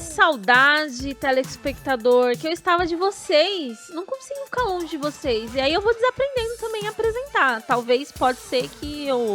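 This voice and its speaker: A high-pitched woman with very wide pitch swings and hardly any pauses, music in the background. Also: moderate pace. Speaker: podcast host. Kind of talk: casual podcast conversation.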